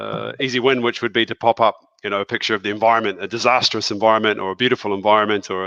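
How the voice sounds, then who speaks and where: A man with a New Zealand accent at a very fast pace, fairly low in pitch, with a bright, sharp tone, monotone, flat intonation, and a dry, close sound with no echo against a quiet background. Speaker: school principal. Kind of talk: presentation with slides in a video call. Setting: video call from his office.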